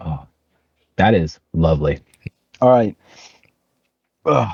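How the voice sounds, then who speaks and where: A man with an American accent speaks at a very slow pace, his pitch very deep and low. His voice shows vocal fry and very wide pitch swings. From USA. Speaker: podcast co-host. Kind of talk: casual chat.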